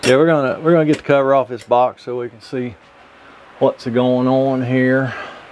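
Noticeable background noise runs behind the voice. A man speaks with ordinary pitch variation. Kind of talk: tutorial. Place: home room. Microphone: phone near.

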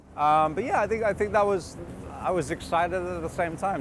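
A man speaks at a fairly quick pace. Noticeable background noise can be heard. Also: dry sound with no echo. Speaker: actor being interviewed. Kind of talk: interview answer. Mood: relaxed, upbeat. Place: street.

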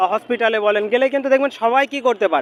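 Noticeable background noise sits under a man whose pitch is extremely high, with ordinary variation. The sound is dry and close with no echo. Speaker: member of the public interviewed. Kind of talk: street interview.

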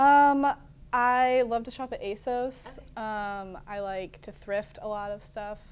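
In an American accent, a woman speaks at a very slow pace. Her loudness swings widely. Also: fairly even intonation. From Kansas. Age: 20s. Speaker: college student; TV guest. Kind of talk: interview. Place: studio.

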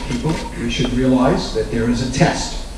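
Moderate pace with strong room echo and noticeable background noise. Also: man. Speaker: host introducing panel. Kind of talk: introductory remarks to audience. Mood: warm, lightly humorous. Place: hall.

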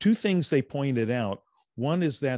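Ordinary pitch variation from a man, in a dry sound with no echo and a quiet background. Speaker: movie talk show co-host. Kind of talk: casual chat about films. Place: home room. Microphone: studio mic.

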